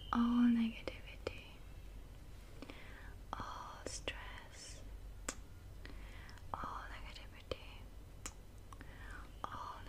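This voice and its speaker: Soft-spoken and very slow, a woman talks with long, frequent pauses over light background noise. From India. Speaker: ASMR creator. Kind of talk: ASMR relaxation talk with affirmations. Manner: soft, calming, slow. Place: home room.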